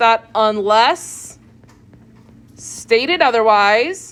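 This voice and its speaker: A woman speaks at a very slow pace, her pitch swinging very widely. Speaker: chemistry professor. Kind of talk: lecture. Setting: classroom. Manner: loud; casual.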